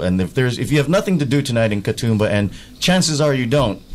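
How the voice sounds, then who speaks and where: With an American accent, a man in an unremarkable speaking voice talks at medium pitch with lively intonation. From US, California. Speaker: stand-up comedian. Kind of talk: radio interview. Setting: radio studio.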